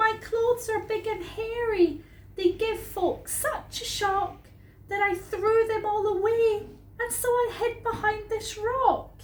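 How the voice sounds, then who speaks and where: Using a put-on character voice, a woman speaks at a fairly slow pace in an extremely high pitch. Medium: read story. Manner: shy, gentle.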